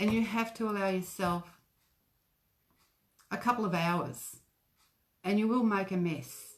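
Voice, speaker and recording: Speaking in an Australian accent, a woman at medium pitch talks fairly slowly with ordinary pitch variation and long, frequent pauses. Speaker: craft shop owner. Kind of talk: craft tutorial livestream. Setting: facebook live video. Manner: soft-spoken. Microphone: too quiet.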